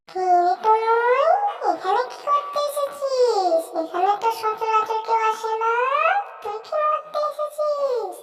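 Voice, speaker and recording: A cartoonish character voice, squeaky and extremely high in pitch, speaks at a fairly slow pace. Loud background noise runs underneath. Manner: commanding, uses blunt familiar address.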